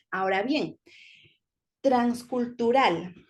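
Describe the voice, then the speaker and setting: A woman's fairly high voice, fairly slow in pace and lively in intonation. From Ecuador-born, raised in Spain. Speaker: teacher. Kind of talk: lecture.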